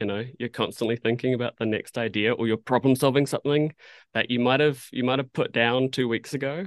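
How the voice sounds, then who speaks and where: Speaking with a New Zealand accent, a man keeps a fairly quick pace. His pitch is medium and his intonation fairly even. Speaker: animation art director. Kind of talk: casual interview chat. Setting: video call.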